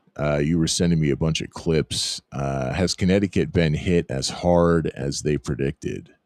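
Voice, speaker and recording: A man with a very deep, low voice speaks at a moderate pace and fairly even intonation, in a dry, close sound with no echo. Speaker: talk show host taking live callers. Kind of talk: live call-in debate show. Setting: live online audio room.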